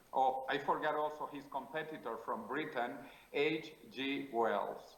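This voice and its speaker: With a Spanish accent, a man speaks at a fairly slow pace and a fairly high pitch, his intonation fairly even, in a room with audible echo. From South America. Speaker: futurist interviewee. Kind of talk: interview.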